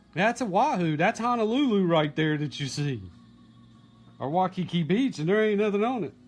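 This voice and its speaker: A man speaks at a moderate pace with a high pitch and lively intonation. Music plays in the background. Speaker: grandson interviewing his grandfather. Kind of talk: casual family interview. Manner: excited.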